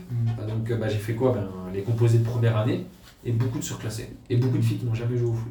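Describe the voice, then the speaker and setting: A man of medium pitch talks at a fairly quick pace with audible room echo. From eastern France, Mulhouse and Haute-Saône. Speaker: youth women's football coach. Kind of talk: casual chat.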